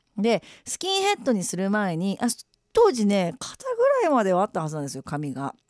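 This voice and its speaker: A woman talks in an animated tone at a moderate pace. The sound is dry and close, with no echo. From Japan, Shimane. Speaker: radio DJ and musician. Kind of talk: casual radio after-talk reading listener messages. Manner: animated, laughs often.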